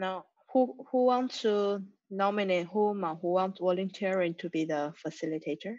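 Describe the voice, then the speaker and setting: Using ordinary pitch variation at a medium pitch, a woman talks at a moderate pace in a Chinese accent. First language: Mandarin Chinese. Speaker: community member. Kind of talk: group video call discussion. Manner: halting.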